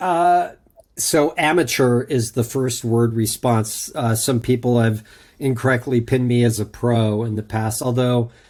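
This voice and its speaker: Speaking with an American accent, a man has an ordinary speaking voice at medium pitch. He moves at a fairly slow pace with ordinary pitch variation. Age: 50s. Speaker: automotive digital marketing consultant. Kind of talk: interview.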